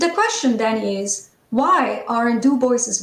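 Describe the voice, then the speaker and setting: A woman's fairly high voice, with audible room echo. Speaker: conference organizer and scholar. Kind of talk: formal lecture. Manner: formal. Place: home room. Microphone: video call.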